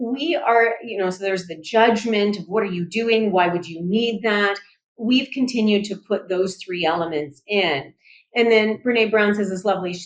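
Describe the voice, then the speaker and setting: A woman with a Canadian accent has an ordinary speaking voice at medium pitch. She speaks at a moderate pace with ordinary pitch variation. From Canada. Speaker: sex therapist and psychologist. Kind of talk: podcast interview. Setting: podcast.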